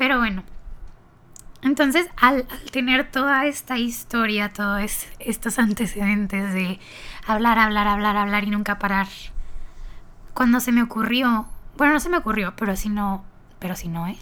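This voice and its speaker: A woman with a bright, sharp tone and fairly high pitch talks at a fairly slow pace, with ordinary pitch variation and long, frequent pauses. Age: young. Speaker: podcaster, marketing student. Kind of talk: casual monologue. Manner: talkative, chatty.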